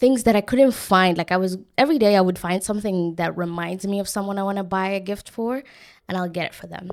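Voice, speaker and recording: A woman with a non-native accent speaks in an animated tone, captured in a very clean recording with a silent background. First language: not English. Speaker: podcast host. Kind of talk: casual solo podcast storytelling.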